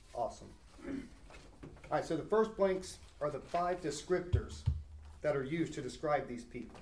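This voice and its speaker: Vocal fry runs through speech with ordinary pitch variation and long, frequent pauses. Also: man, fairly high pitch for a man, moderate pace. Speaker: Bible study leader. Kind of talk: Bible study lesson with group discussion. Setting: recorded near a recorder with a small group.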